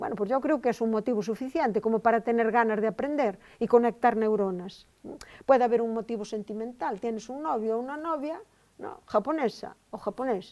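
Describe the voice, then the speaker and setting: On a very clean recording with a silent background, a woman talks at a fairly quick pace and a fairly high pitch. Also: ordinary pitch variation, big swings in loudness. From Spain, Galicia (Val de Monterrey, Ourense). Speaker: linguistics professor. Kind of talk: lecture. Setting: lecture hall with audience. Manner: conversational, with frequent fillers.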